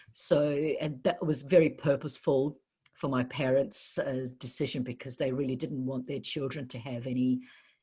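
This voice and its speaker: A woman's very deep, low voice with a dark, mellow tone, somewhat breathy, fairly even intonation and a moderate pace, against a quiet background. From New Zealand (Wellington), born in Kiev. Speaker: entrepreneur and business coach. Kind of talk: casual interview conversation. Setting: podcast. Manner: hesitant, many fillers.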